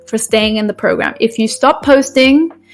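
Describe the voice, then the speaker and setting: A woman at a fairly high pitch, with fairly even intonation and a moderate pace, over music in the background. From UK. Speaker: brand ambassador program lead. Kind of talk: live stream presentation. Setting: live stream with chat. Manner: casual, many fillers.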